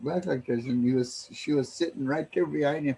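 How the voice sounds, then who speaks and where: Somewhat breathy, a man's voice sits fairly high in pitch. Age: 70s. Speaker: elder and language teacher. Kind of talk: storytelling language lesson. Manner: halting, many fillers.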